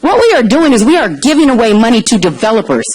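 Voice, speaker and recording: With noticeable background noise and audible room echo, a woman talks at a very fast pace. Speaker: public commenter at city council meeting. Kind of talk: public comment. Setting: city council chamber. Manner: loud; animated.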